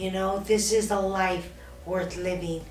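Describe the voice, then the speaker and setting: Noticeable background noise and audible room echo surround a woman's voice. She talks at a fairly slow pace in a monotone, flat intonation. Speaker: cancer survivor podcast host. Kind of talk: casual chat. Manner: soft-spoken.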